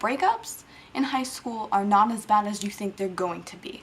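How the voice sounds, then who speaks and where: Noticeable background noise fills the clip. Over it comes a woman's voice. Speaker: vlogger. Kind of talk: casual vlog talk. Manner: fast.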